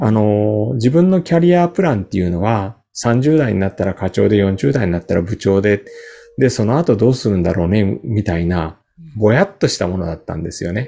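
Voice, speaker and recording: A man's fairly low, dark, mellow voice, fairly quick, with very wide pitch swings. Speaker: company founder and career workshop instructor. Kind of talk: interview. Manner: filler-heavy, conversational.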